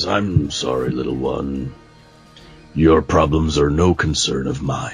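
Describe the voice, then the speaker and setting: A man puts on a character voice at a very deep, low pitch, speaking at a fairly slow pace. Faint music plays in the background. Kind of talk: condescending. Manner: sneering, grumbling.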